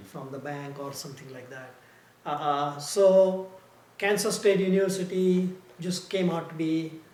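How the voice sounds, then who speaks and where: Against noticeable background noise and audible room echo, a man with an Indian accent speaks at a fairly slow pace in a high pitch, with ordinary pitch variation and big swings in loudness. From India (Mumbai). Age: 70s. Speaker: retired engineer, immigrant interviewee. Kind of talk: oral history interview. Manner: halting, many fillers.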